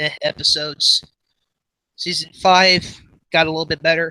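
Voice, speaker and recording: A man speaks at a high pitch with a bright, sharp tone. His pace is moderate, and the sound is dry and close with no echo. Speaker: animation youtuber. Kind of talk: casual livestream chat. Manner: halting, filler-heavy.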